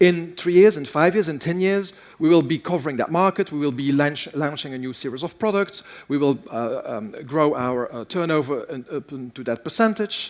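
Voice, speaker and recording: This man speaks at a fairly quick pace. His intonation is lively. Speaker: keynote speaker. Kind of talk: keynote talk. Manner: fast.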